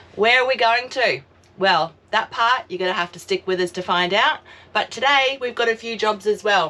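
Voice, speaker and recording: At a moderate pace, a woman with an Australian accent speaks with lively intonation. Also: fairly high pitch for a woman. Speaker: travel vlogger. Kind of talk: casual vlog chat. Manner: animated.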